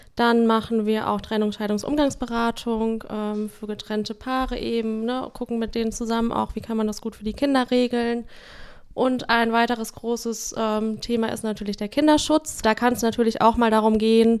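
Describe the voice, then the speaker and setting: Her fairly high voice stays monotone and flat as this woman speaks. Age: 30s. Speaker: social work team leader. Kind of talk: casual interview.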